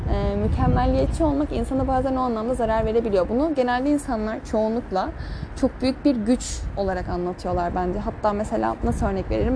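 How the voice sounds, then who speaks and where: Noticeable background noise is audible. Over it, a woman speaks at a fairly quick pace. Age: young. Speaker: podcaster. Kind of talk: casual monologue. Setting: outdoors at night.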